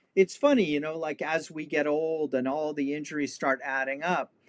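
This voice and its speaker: Here a man has a normal speaking voice with an American accent. His pitch is fairly high, and his pace is moderate. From Los Angeles, California. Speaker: historian and martial artist. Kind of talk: casual interview chat.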